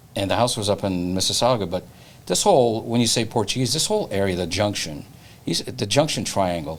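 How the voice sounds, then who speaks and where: Speech delivered at a very fast pace with lively intonation. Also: man, fairly low pitch for a man. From Toronto, Canada. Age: 60s. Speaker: real estate broker and podcast host. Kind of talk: casual interview chat. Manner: repetitive, halting restarts.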